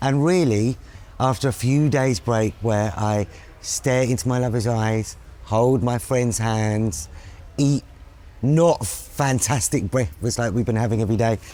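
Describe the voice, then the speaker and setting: A man with an unremarkable speaking voice talks at a fairly slow pace and medium pitch, with ordinary pitch variation and very even loudness. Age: 40s. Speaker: activist and co-host. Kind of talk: casual chat.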